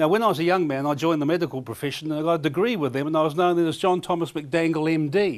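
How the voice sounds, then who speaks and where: In a New Zealand accent, a man with a fairly high pitch talks at a very fast pace with hardly any pauses and ordinary pitch variation. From New Zealand, Auckland and Bay of Plenty. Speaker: comedian. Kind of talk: casual chat; stand-up.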